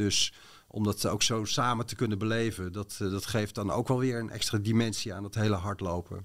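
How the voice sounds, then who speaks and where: In a plain, everyday voice, a man speaks at a moderate pace with fairly low pitch and fairly even intonation on a very clean recording with a silent background. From Netherlands, Bodegraven (South Holland). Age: 50s. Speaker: sports commentator. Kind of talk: casual chat.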